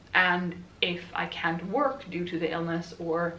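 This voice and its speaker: A woman speaks with a Swedish accent. Room echo is audible. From Sweden. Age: 20s. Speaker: book YouTuber. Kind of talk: casual vlog talk. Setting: at home.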